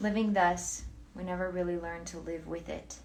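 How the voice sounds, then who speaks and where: A woman speaks in a soothing tone at a fairly slow pace. Noticeable background noise runs behind her. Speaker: book reader. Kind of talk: philosophy book reading.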